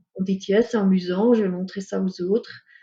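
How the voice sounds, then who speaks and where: At medium pitch, a woman speaks with a dark, mellow tone, a somewhat breathy voice, and monotone, flat intonation. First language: not French (speaking French). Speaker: ecopsychologist. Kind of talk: interview. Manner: hesitant, many fillers.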